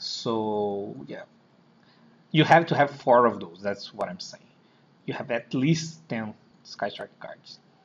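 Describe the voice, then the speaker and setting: Speaking at a very slow pace in a Brazilian Portuguese accent, a man uses lively intonation, big swings in loudness and long, frequent pauses. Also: medium pitch for a man. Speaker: card game player. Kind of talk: deck profile explanation. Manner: halting, hesitant.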